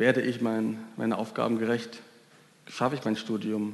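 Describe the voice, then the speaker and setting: A man's medium-pitched, monotone, flat delivery at a moderate pace, with audible room echo. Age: 20s. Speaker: volunteer youth preacher. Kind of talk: sermon.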